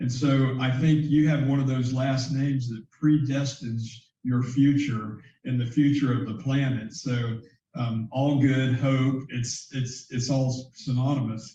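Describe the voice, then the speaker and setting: A man's medium-pitched, dark, mellow and somewhat breathy voice with an American accent, monotone, flat intonation and a fairly slow pace, with audible room echo. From US South, Central Florida. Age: 60s. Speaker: bank founder and CEO. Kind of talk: interview conversation. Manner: halting, many fillers.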